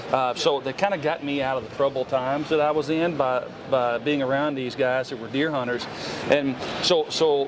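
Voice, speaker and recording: Against noticeable background noise, a man with a Southern US accent talks at a fairly quick pace, his medium-pitched voice carrying fairly even intonation. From Tennessee. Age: 40s. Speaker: hunter and outdoor show personality. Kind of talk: podcast interview. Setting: trade show. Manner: casual, halting with many fillers.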